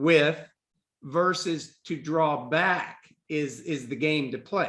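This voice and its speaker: Speaking very slowly, a man with a fairly high pitch talks in an American accent. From Texas. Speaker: career and executive coach. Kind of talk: casual chat.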